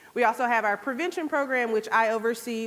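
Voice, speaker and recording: In a slight Southern Georgia accent, a woman speaks at a fairly high pitch with lively intonation. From US South, Georgia. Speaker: public health program manager. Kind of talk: conference presentation. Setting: stage with audience.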